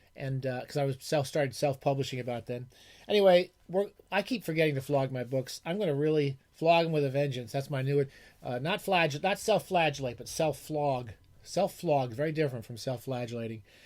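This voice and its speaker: A mumbling man with a fairly high pitch and ordinary pitch variation, at a fairly quick pace, on a very clean recording with a silent background. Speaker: retired professor and book podcaster. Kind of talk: casual monologue. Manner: fast. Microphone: new microphone.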